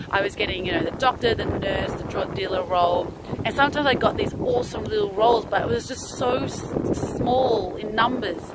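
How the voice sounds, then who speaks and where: A woman speaks at a fairly quick pace and a fairly high pitch. Her pitch varies in an ordinary way, with noticeable background noise behind her. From Australia. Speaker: stand-up comedian and actor. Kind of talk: casual talk to camera.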